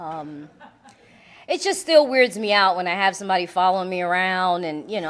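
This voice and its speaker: A woman with a strong Puerto Rican accent talks at a fairly quick pace. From Puerto Rican background. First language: Spanish. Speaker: AA speaker, recovering alcoholic. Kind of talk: recovery testimony talk. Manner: casual, conversational with filler words.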